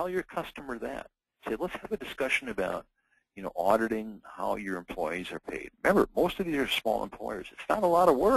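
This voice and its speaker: A man's medium-pitched voice with vocal fry, very wide pitch swings, big swings in loudness and a fairly quick pace, in a dry, close sound with no echo. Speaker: sales trainer. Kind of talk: live sales training. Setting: live online training session. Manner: fast.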